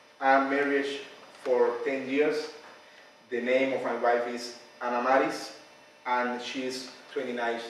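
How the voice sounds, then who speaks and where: Amid audible room echo, a man with a Cuban accent talks very slowly at a medium pitch. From Cuba, Pinar del Rio. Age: 20s. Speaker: seminary professor and pastor. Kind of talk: personal presentation. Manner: halting.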